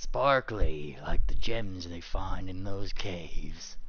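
A man's put-on character voice, raspy and growling, fairly low in pitch and very slow, with clear background noise. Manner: growly.

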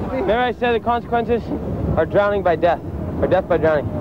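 A man at a very fast pace, with ordinary pitch variation, dry sound with no echo, and noticeable background noise. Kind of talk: interview answer. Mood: shaken, laughing, relieved. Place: beach. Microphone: lapel.

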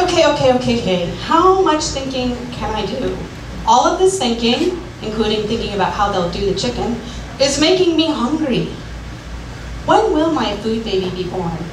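At a moderate pace, a woman speaks with a fairly high pitch that swings widely, over clear background noise.

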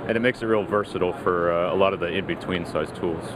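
Fast speech with ordinary pitch variation over clear background noise. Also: man, low pitch for a man.

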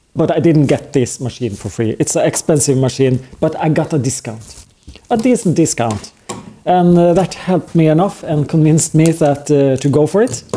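Lively intonation from a man at a moderate pace. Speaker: hobby maker reviewing a machine. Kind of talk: casual vlog chat. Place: garage.

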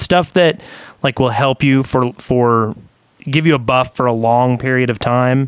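A man talks at a medium pitch with fairly even intonation. The sound is dry with no echo, and the background is quiet. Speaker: podcast host. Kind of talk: casual chat. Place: home room. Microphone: studio mic.

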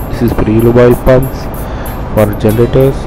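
The recording is dry, without any echo. Behind it, music is playing. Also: man. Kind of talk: tour guide explanation. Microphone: phone near.

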